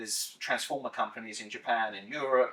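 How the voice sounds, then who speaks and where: A man with a British accent at a very fast pace. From UK. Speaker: investment portfolio specialist. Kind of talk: podcast interview.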